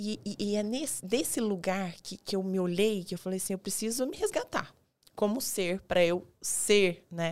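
A woman speaks at a medium pitch and moderate pace with ordinary pitch variation, on a very clean recording with a silent background. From Goiás, Brazil. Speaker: dentist and weight-loss mentor. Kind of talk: casual interview chat. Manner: halting, many fillers.

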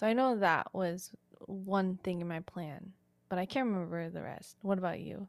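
Her medium pitch and ordinary pitch variation give this woman a plain, everyday voice. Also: moderate pace. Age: 20s. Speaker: podcast co-host. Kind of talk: casual chat.

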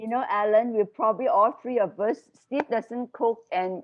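A woman with a plain, everyday voice, fairly high in pitch, at a fairly slow pace. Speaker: former school staff leader. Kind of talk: casual interview chat.

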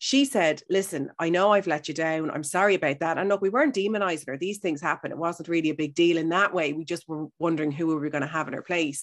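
In a Dublin accent, a woman speaks at a fairly low pitch with ordinary pitch variation. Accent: Dublin Irish. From Ireland, Howth (Dublin). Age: 40s. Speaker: radio broadcaster, health and wellness presenter. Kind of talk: casual interview chat.

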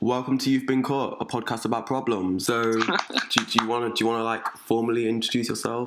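A man talks at a fairly quick pace with hardly any pauses, at a medium pitch and with fairly even intonation. Noticeable background noise sits behind him. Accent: English. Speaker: podcast host. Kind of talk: casual chat.

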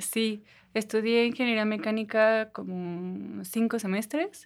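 Speaking very slowly with fairly even intonation, a woman is heard on a very clean recording with a silent background. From Mexico, Toluca. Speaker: visual artist. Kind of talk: interview.

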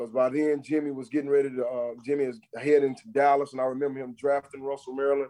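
A man with an American accent talks at a very fast pace in a monotone, flat delivery with a dark, mellow tone. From Texas. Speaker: former NFL player and football coach. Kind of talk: casual chat.

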